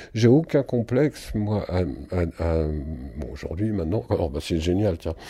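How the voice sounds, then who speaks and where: A man's dark, mellow voice with vocal fry and very wide pitch swings, in a very clean recording with a silent background. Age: 60s. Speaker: musician and singer. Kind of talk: interview. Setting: at his home. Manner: halting.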